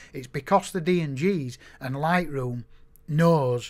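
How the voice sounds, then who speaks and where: The man has an unremarkable speaking voice, fairly high in pitch with ordinary pitch variation. It is a very clean recording with a silent background. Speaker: photographer teaching software. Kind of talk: screen-recorded tutorial. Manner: casual, conversational with fillers.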